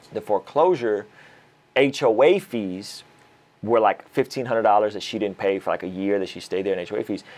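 A man's fairly low voice moves at a fairly slow pace, its pitch varying in an ordinary way. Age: 30s. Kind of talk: casual interview chat. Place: studio. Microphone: lapel.

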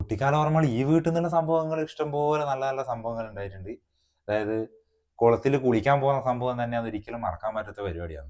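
This is an ordinary speaking voice with lively intonation. The recording is very clean, with a silent background. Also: man, medium pitch for a man. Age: 30s. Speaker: YouTube vlogger. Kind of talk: casual chat. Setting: outdoors.

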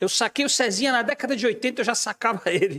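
Over a quiet background, a man talks fairly quickly in an extremely high pitch with ordinary pitch variation. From Brazil. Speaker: podcast host and musician; podcast host. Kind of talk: casual chat. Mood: lively, animated storytelling. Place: studio. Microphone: studio mic.

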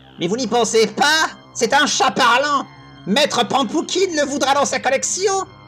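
Clear music plays behind a put-on character voice that is high-pitched and moves at a moderate pace.

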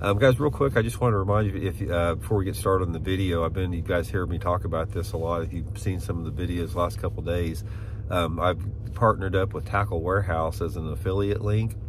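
A man with a very deep, low voice and lively intonation talks at a very fast pace, the sound dry with no echo and noticeable background noise behind it. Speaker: fishing channel host. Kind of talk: casual vlog chat. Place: car. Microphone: phone near.

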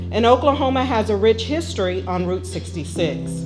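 With clear music in the background, a woman talks at a fairly slow pace. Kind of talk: event speech. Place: hall. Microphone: handheld.

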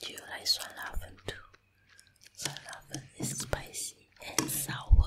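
Over noticeable background noise, a woman is whispering at a fairly slow pace. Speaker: stay-at-home mom, ASMR creator. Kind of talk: ASMR whispered voiceover. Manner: whispered.

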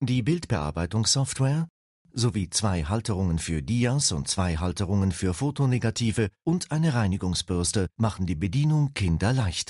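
Upbeat in tone, a man speaks with a fairly low, somewhat breathy voice. His pitch swings very widely while his loudness stays very even. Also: moderate pace. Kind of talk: infomercial, polished product-promo voiceover. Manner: smooth, upbeat and persuasive, brisk and clearly enunciated; formal, addressing the viewer politely as Sie.

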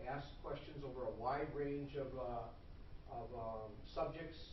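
The intonation stays fairly even. Light background noise and audible room echo can be heard. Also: man. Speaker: presenter. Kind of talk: formal report to a meeting. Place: hall. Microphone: camera far.

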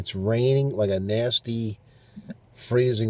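A man talks at a fairly slow pace, somewhat breathy. His tone is dark and mellow, with ordinary pitch variation. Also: dry sound with no echo. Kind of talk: casual vlog chat. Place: car. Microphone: phone near.

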